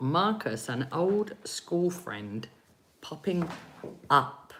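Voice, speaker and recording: Speaking at a very slow pace, a woman uses a fairly low voice with very wide pitch swings and vocal fry. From England. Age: 40s. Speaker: psychic reader. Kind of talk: live-stream reading. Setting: live stream. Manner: animated.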